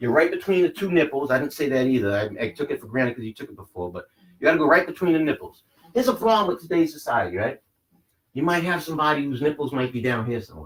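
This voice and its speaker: A man talks at a very fast pace with lively intonation and vocal fry. His loudness swings widely. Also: fairly high pitch for a man. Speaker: CPR instructor. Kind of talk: training class demonstration.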